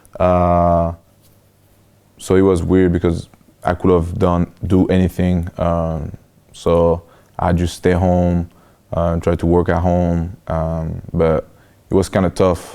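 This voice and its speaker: A man with a French accent, very deep and low in pitch, very slow with long, frequent pauses, monotone and flat, very even in loudness, with a dark, mellow tone. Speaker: college football player. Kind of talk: interview. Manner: hesitant, many fillers.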